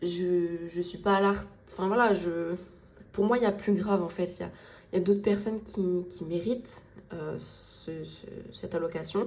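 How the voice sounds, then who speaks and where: A woman at a fairly low pitch and moderate pace, with long, frequent pauses, big swings in loudness and audible room echo. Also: fairly even intonation. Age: 20s. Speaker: budgeting vlogger. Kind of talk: casual vlog talk to viewers. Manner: poorly articulated, repetitive, hesitant.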